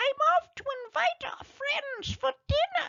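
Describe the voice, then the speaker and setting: A put-on character voice, squeaky and extremely high in pitch, moves through very wide pitch swings. It goes at a fairly slow pace. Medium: read story.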